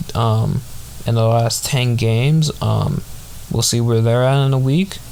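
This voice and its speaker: A man's fairly even-toned voice amid noticeable background noise. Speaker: sports podcast host. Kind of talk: casual chat. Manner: halting, many fillers.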